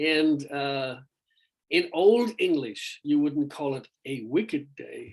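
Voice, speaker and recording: In an Irish accent, a man speaks at a very slow pace. His pitch is fairly high, with ordinary variation. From Ireland. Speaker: rock vocalist. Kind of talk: interview. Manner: halting, many fillers.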